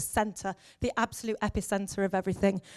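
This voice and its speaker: A woman speaks at a moderate pace with an English accent. The sound is dry and close with no echo, and the recording is very clean against a silent background. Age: 40s. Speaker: education officer and former teacher. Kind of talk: conference talk. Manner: animated.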